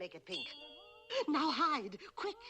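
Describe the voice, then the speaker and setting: This is a put-on character voice with a high pitch. It moves through very wide pitch swings. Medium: short film. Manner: brisk, bossy.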